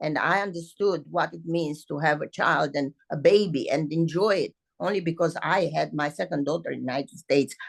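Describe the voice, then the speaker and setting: A woman speaks with a very deep, low pitch and vocal fry. Her pace is fairly quick. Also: hardly any pauses. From Romania. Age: 70s. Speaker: ballet teacher. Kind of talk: interview. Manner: animated.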